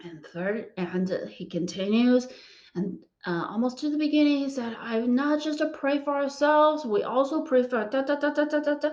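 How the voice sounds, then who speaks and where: With music in the background, a woman talks in a high voice at a moderate pace with lively intonation. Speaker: physics PhD student sharing faith story. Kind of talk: testimony. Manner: halting.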